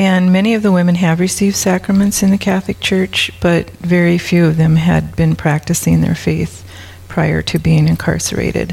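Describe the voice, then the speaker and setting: Noticeable background noise runs under a woman with an Upper Midwest accent. She speaks at a moderate pace with very even loudness. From South Dakota. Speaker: prison ministry volunteer.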